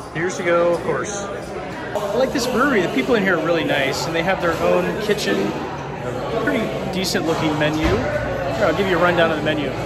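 Fairly quick talk from a man over background music. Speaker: travel vlogger. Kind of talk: casual vlog chat. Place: bar. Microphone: phone near.

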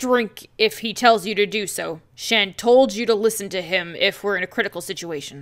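Using a put-on character voice, a female-sounding voice speaks at medium pitch. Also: moderate pace, hardly any pauses. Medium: game stream. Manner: stern, measured, urgent.

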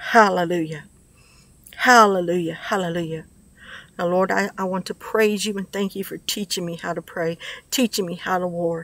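A woman's medium-pitched voice at a moderate pace, fairly even in intonation, with long, frequent pauses and a dry sound with no echo. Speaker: prophetic ministry video maker. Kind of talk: prayer and prophetic word delivery. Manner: earnest, repetitive emphasis. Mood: fervent, earnest. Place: garden. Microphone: phone near.

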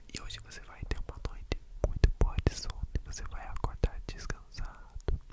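Whispering at a moderate pace, a man speaks. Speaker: ASMR creator. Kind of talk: soft ASMR guided relaxation talk. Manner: soothing soft ASMR voice. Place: home room. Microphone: studio mic.

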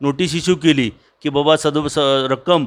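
A man with a normal speaking voice, fairly high pitch and ordinary pitch variation, on a very clean recording with a silent background. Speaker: retired government agricultural officer. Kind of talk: interview.

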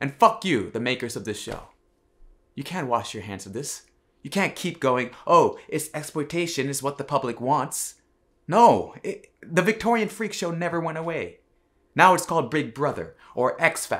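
At a moderate pace, a man talks with very wide pitch swings and big swings in loudness against a quiet background. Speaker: comedian. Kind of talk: stand-up style comic monologue to camera.

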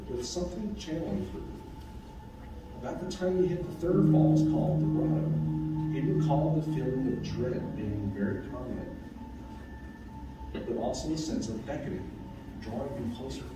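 A man's moderately paced speech carries audible room echo, with noticeable background noise behind it. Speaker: storyteller. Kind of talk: reading a ghost story to an audience. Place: meeting room. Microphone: camera far.

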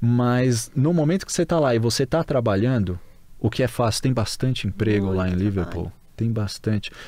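With a Brazilian accent, a man talks at a fairly quick pace in a dark, mellow tone, with lively intonation, very even loudness and a dry sound with no echo. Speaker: Brazilian expatriate; podcast guest. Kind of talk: casual chat. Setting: studio. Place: studio. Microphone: studio mic.

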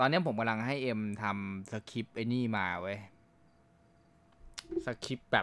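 With an ordinary speaking voice, a man talks at a medium pitch with ordinary pitch variation and big swings in loudness. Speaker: game streamer playing a roleplay server, acting as admin. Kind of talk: casual talk to camera.

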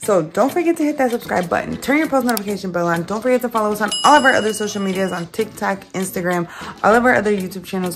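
A woman talks at a very fast pace with ordinary pitch variation. Faint music plays in the background. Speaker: family vlogger. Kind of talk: casual vlog chat. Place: home room. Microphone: phone near.

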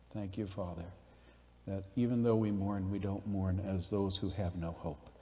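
Somewhat breathy and fairly low in pitch, this man's voice shows ordinary pitch variation. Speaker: pastor. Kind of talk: prayer. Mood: solemn, gentle. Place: hall.

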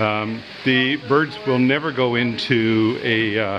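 Over music in the background, a man speaks with fairly even intonation. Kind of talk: casual vlog chat. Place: garage. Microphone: phone near.

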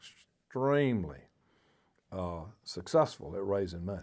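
Against a quiet background, a man with a Georgia accent speaks in a dark, mellow tone. His pitch is fairly low and varies in an ordinary way. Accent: US Southern (Georgia). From Athens, Georgia area. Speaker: former state party chairman; interviewee. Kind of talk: oral history interview. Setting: on camera, recorded interview. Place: studio.

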